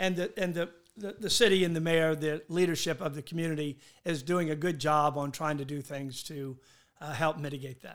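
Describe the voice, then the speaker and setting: A man's fairly high voice with a Southern US accent, ordinary pitch variation and a fairly quick pace. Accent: US South. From Charleston, South Carolina. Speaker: hotel owner. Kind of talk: interview. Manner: halting.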